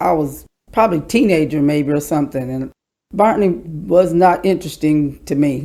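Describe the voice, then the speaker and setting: Lively in intonation, a woman with a very deep, low pitch and a dark, mellow tone speaks at a moderate pace. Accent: Kentucky. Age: 60s. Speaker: podcast guest, department store worker. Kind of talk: casual interview chat.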